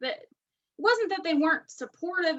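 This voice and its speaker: This woman's high voice swings very widely in pitch at a moderate pace, with a slight West Virginia accent. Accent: slight West Virginia twang. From West Virginia, US. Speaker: direct sales director. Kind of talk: interview. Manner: casual, filler-heavy.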